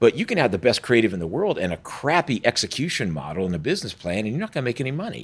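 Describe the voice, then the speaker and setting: On a very clean recording with a silent background, a man with an American accent rattles along at a very fast pace, medium in pitch with very wide pitch swings and vocal fry. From Georgia, US South. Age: 60s. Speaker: film academy administrator, former film producer. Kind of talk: podcast interview.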